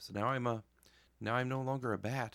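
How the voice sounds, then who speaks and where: A man speaks quietly. His pace is moderate. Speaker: gaming youtuber. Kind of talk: gameplay commentary. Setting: home basement at night. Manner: quiet, holding voice down.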